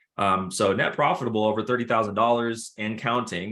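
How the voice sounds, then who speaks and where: Recorded very cleanly against a silent background, a man talks at a medium pitch with fairly even intonation and a plain, everyday voice. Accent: American. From Minnesota, Minneapolis area. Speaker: trading community host. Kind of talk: interview on group call. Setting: group call.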